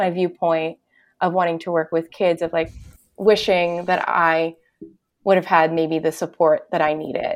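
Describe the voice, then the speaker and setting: A woman talks at a moderate pace in a fairly low pitch, with an ordinary speaking voice. The recording is very clean, with a silent background. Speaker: art therapist. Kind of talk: casual interview chat.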